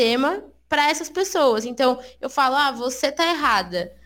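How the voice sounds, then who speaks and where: High-pitched and with lively intonation, a woman speaks. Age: 20s. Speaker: guest. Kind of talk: casual chat.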